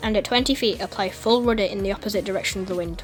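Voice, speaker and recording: With music in the background, a woman with a medium-pitched voice speaks very fast, her pitch varying in an ordinary way. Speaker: flight simulator video creator. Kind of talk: tutorial voice-over. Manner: casual, friendly.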